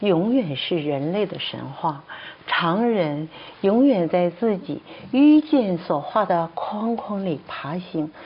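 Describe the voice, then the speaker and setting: A woman of medium pitch speaks at a very slow pace. Her pitch swings very widely over noticeable background noise. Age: 60s. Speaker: traditional Chinese medicine doctor and professor. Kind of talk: testimony. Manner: halting, many fillers.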